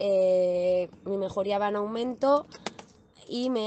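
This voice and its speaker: A woman speaks in a dark, mellow tone. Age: 30s. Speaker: client. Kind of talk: testimony. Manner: hesitant with repetitions.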